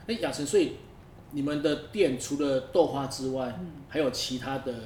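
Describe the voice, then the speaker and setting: A man with a fairly high pitch and a somewhat breathy voice talks at a moderate pace, with ordinary pitch variation and big swings in loudness. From northern Taiwan. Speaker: podcast host. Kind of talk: casual interview chat.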